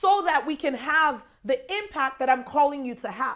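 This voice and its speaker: A woman speaks loudly in an animated tone, her intonation lively. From Nigeria. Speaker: guest preacher. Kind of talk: sermon.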